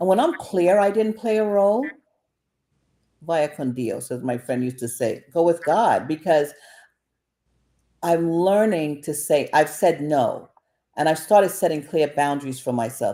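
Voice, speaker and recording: On a very clean recording with a silent background, a woman with a New York accent speaks at a fairly low pitch in a dark, mellow tone, with lively intonation and long, frequent pauses. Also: moderate pace. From Brooklyn, New York. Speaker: mental health counselor. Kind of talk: casual chat. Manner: loud.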